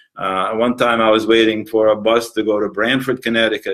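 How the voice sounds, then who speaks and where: A man at a moderate pace and a medium pitch. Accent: Palestinian. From Palestine. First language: Arabic. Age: 60s. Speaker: museum founder. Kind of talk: interview. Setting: museum, live recording. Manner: halting, many fillers.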